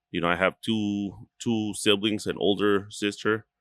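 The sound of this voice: With a fairly bright tone and fairly even intonation, a man speaks at a fairly slow pace, the sound dry and close with no echo. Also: fairly low pitch for a man.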